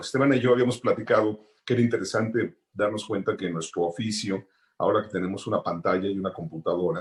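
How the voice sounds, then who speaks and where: A somewhat breathy voice on a very clean recording with a silent background. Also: man. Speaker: sound designer. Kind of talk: panel talk.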